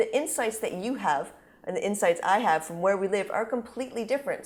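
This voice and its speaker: Fairly quick speech from a woman with an American accent, fairly high in pitch, in an ordinary speaking voice. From United States. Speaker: advertising executive. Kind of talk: interview conversation.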